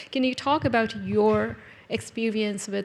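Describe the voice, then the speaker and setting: With a non-native accent, a woman speaks at a moderate pace. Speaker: event host. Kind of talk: interview conversation.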